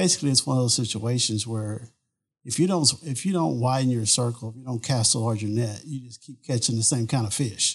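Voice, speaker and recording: Against a quiet background, a man with a medium-pitched, somewhat breathy voice talks at a fairly quick pace with big swings in loudness. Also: ordinary pitch variation. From Southeast Texas (Beaumont). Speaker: oil and gas executive. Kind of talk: interview answers.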